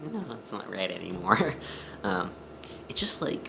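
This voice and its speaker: There is audible echo in the room. Noticeable background noise runs underneath. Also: man. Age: 20s. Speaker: vlogger. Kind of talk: personal vlog. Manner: hesitant, many fillers.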